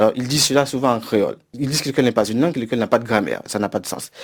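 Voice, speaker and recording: A man at a medium pitch. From Haiti. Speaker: university professor. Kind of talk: interview. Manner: hesitant with fillers.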